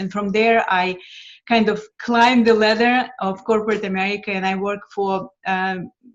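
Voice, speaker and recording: In a Lithuanian accent, the speaker keeps a moderate pace with monotone, flat intonation. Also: woman. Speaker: financial mentor. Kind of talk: interview. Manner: hesitant with frequent fillers.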